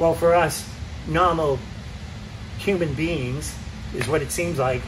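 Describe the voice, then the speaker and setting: With a Massachusetts accent and a fairly high pitch, a man speaks at a fairly slow pace amid noticeable background noise and audible room echo. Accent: Massachusetts, non-rhotic (drops r). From Massachusetts, US. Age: 60s. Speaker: road racer and riding coach. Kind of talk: casual chat. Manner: animated.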